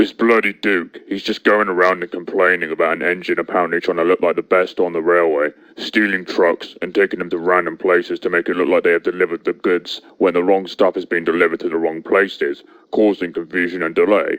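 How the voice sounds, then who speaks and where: In a cartoonish character voice, a man with a very deep, low pitch rattles along at a very fast pace with hardly any pauses. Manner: blunt, rough.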